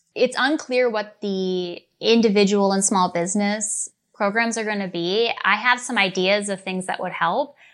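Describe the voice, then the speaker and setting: At a moderate pace with hardly any pauses, a woman with an unremarkable speaking voice, medium pitch and fairly even intonation talks in an American accent. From Minnesota, US. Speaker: attorney. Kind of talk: interview.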